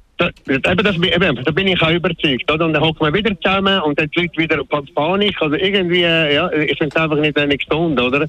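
The speech goes at a very fast pace with fairly even intonation. Noticeable background noise can be heard. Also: man, fairly high pitch for a man. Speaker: radio caller. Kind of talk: call-in talk radio. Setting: phone call. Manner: halting, many fillers.

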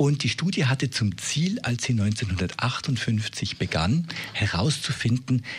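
The voice is somewhat breathy, with lively intonation. It moves at a very slow pace. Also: man. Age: 50s. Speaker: expert on aging. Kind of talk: radio interview.

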